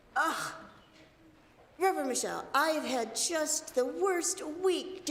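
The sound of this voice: This put-on character voice is raspy, with a whiny, dramatic tone, a fairly slow pace and a slight echo. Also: woman, extremely high pitch for a woman.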